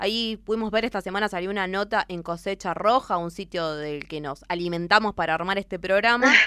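Using an ordinary speaking voice at medium pitch, a woman talks at a fairly quick pace with hardly any pauses and ordinary pitch variation. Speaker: community radio co-host. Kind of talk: live radio interview and commentary.

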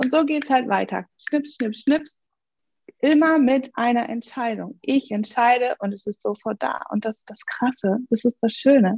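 Speaking fairly slowly and high-pitched, a woman shows ordinary pitch variation and big swings in loudness in a dry, close sound with no echo. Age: 40s. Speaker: life coach. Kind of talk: interview. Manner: animated.

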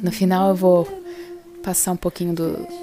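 The voice has ordinary pitch variation. Noticeable background noise runs underneath. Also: woman. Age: 40s. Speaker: podcast host. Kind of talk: casual monologue.

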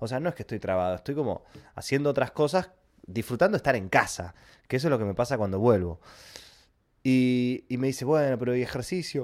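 In a Rioplatense accent, a man at medium pitch speaks with an animated tone, lively intonation and a fairly quick pace, leaving long, frequent pauses in a very clean recording with a silent background. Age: 30s. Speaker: podcast host, YouTuber. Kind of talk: casual monologue.

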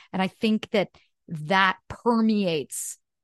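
A woman with a Canadian accent and ordinary pitch variation, her voice dry and close with no echo over a quiet background. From Canada. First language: French. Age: 30s. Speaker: actress and singer. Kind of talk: casual interview chat. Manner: animated.

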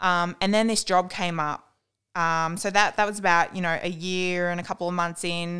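Bright and sharp, this voice carries an Australian accent at a moderate pace with monotone, flat intonation. The recording is very clean over a silent background. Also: woman, fairly low pitch for a woman. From New South Wales, Australia (Dubbo, Warren). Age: 20s. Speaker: guest sharing eating disorder recovery. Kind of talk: testimony.

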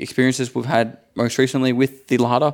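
With an Australian accent, a man talks at a medium pitch. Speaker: content creator, podcast co-host. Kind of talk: casual chat. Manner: animated presenter voice when recording.

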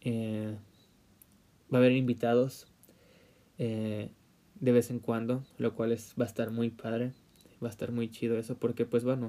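A man speaks in a dark, mellow tone at medium pitch with monotone, flat intonation. His pace is fairly slow, with long, frequent pauses. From Mexico, Puebla. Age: 20s. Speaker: podcaster. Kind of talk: solo podcast monologue. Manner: halting, many fillers.

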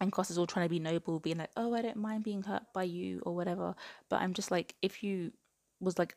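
A woman with an English accent, fairly low in pitch, at a very fast pace with fairly even intonation, in a dry, close sound with no echo. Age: 20s. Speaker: book podcast host. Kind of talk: casual solo book review.

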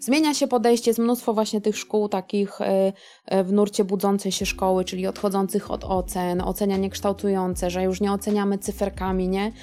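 A woman talks at a fairly quick pace with a dark, mellow tone and fairly even intonation. The recording is very clean, with a silent background. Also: medium pitch for a woman. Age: 40s. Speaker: teacher. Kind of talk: casual chat.

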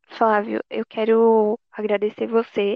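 A woman speaks in a fairly high pitch. Her intonation stays flat and monotone. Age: 20s. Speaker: law graduate. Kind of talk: casual chat.

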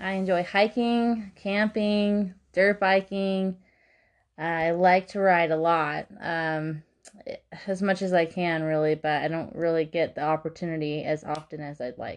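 Over a quiet background, a woman with an American accent speaks fairly slowly at a fairly low pitch, with ordinary pitch variation. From California, San Bernardino Mountains. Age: 20s. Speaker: podcast host and dog sitter. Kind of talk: casual monologue. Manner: hesitant, many fillers.

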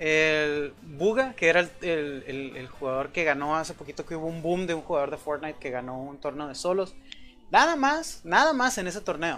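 Delivered at a moderate speed, the voice sounds bright and sharp. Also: man. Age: 20s. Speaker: podcast host. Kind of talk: casual chat. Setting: online voice call.

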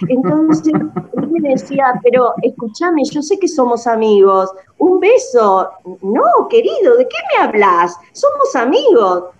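A woman's high-pitched voice with very wide pitch swings, at a very slow pace, over noticeable background noise. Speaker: friend of the show. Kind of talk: casual chat. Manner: animated.

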